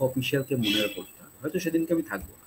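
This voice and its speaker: Light background noise sits under a somewhat breathy voice with ordinary pitch variation. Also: man. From Bengal. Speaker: YouTube channel host. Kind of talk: show intro and outro. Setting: live stream. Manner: formal, polite. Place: home room.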